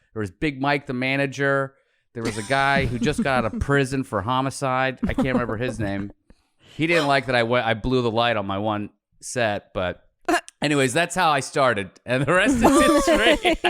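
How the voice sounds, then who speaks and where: At a moderate pace, a man talks at a medium pitch with ordinary pitch variation in a plain, everyday voice. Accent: American. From Pittsburgh, US. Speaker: comedian and podcaster. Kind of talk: casual chat.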